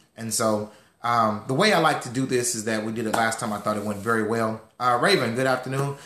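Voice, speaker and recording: Very fast speech from a man at medium pitch, fairly even in intonation, with audible room echo. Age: 30s. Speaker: financial educator. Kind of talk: online class.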